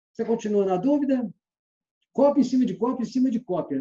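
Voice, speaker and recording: This man's voice has a dark, mellow tone. He talks at a fairly quick pace with lively intonation. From Minas Gerais, Brazil (Belo Horizonte). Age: 60s. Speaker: sales trainer. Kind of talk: lecture.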